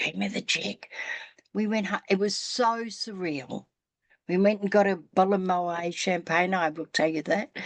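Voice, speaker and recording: Speaking with an ordinary speaking voice, this woman keeps a medium pitch, a moderate pace and ordinary pitch variation. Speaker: spiritual podcast host. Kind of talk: casual storytelling in interview conversation.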